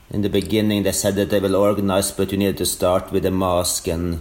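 In a Norwegian accent, a man speaks at a fairly quick pace with a fairly low pitch and a monotone, flat intonation. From Norway. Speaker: elite orienteer. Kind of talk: interview. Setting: remote call.

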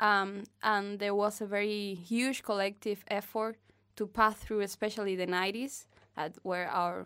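A woman's medium-pitched voice with a Cuban accent, fairly slow and fairly even in intonation, on a very clean recording with a silent background. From Havana, Cuba. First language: Spanish. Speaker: guest from Cuba. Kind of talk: casual interview chat.

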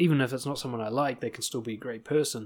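A man speaks at a very fast pace with a medium pitch and ordinary pitch variation. The recording is very clean, with a silent background. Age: 30s. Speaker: podcast host and dating coach. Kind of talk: solo monologue podcast. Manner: animated.

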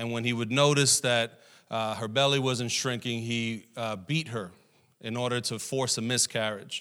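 A man's bright, sharp voice at medium pitch and a moderate pace, with ordinary pitch variation, on a very clean recording with a silent background. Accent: New York. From Brooklyn, New York. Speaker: pastor. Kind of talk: sermon. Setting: church. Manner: humorous.

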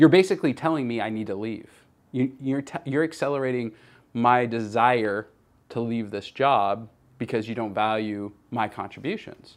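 With an ordinary speaking voice, a man with an American accent talks at a moderate pace, medium in pitch with ordinary pitch variation, on a very clean recording with a silent background. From Northern California, US. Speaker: company CEO and podcast host. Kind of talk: personal storytelling monologue. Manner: casual, with many fillers.

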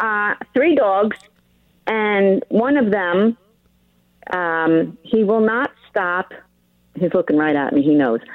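In a New York accent, a woman speaks at a very slow pace with long, frequent pauses and very even loudness. Her voice sits at a medium pitch but makes very wide pitch swings. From New York (Long Island). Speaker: caller. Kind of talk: call-in radio conversation. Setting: phone call.

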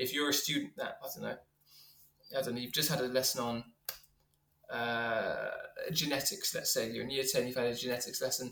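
This man speaks with a London accent at a fairly high pitch. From North London, England. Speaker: science teacher and rapper. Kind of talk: casual interview.

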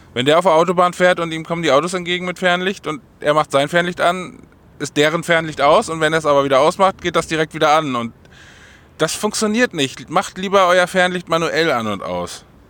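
A man speaks with a high-pitched voice and a bright, sharp tone. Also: ordinary pitch variation, fairly quick pace. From northern Germany (Uelzen area). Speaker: podcaster and vlogger. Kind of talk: casual solo chat. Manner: animated.

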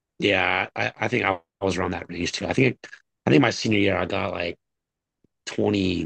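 A man speaks in a very deep, low voice at a moderate pace. He leaves long, frequent pauses, and his pitch varies in an ordinary way. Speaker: podcast co-host. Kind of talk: casual sports chat.

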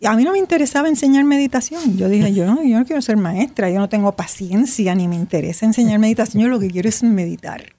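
A woman speaks very fast with hardly any pauses and lively intonation. Her tone is dark and mellow, somewhat breathy. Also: fairly high pitch for a woman, very even loudness. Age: 70s. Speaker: writer and meditation teacher. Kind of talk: interview.

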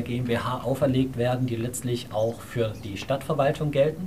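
This man has an ordinary speaking voice, pitched in the medium range. He talks at a moderate pace with fairly even intonation. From Saxony, Dresden. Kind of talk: panel talk.

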